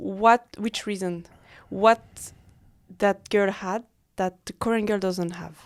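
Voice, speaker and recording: Speaking very slowly with long, frequent pauses, a woman with a French accent keeps a medium pitch and fairly even intonation. Her loudness swings a lot, and the sound is dry and close with no echo. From French-speaking Switzerland. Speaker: freelance model. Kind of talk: casual chat. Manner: halting.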